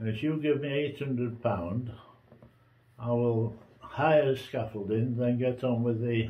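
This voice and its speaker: Very slowly and with fairly even intonation, a man speaks. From England, Nottinghamshire. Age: 80s+. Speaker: pensioner. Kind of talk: testimony. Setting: at home. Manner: halting. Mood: aggrieved, warning tone. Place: home room.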